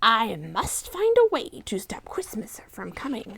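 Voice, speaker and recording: A woman does a growling, put-on character voice, fairly high in pitch and at a fairly slow pace. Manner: growling, sneering.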